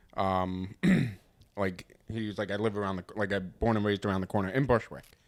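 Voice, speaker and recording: Fairly low in pitch, a man with a strong New York accent speaks at a fairly quick pace with fairly even intonation. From Long Island, New York (Northport/Smithtown). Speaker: podcast host, stand-up comedian. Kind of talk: casual chat.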